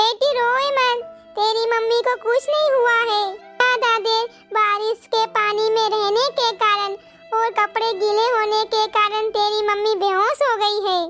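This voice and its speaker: A cartoonish character voice from a woman, extremely high in pitch, fairly slow, with very even loudness, fairly even intonation and faint music in the background. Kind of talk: village cartoon melodrama. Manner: warm, motherly.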